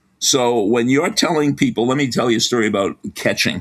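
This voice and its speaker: A man with a Boston accent at medium pitch and a moderate pace. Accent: Boston accent, somewhat. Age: 70s. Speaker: sports psychology professor. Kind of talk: interview.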